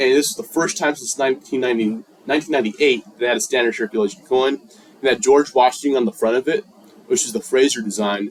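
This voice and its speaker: A man with an American accent at a medium pitch, talking at a very fast pace with ordinary pitch variation, with noticeable background noise. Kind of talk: speech. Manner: casual slang delivery.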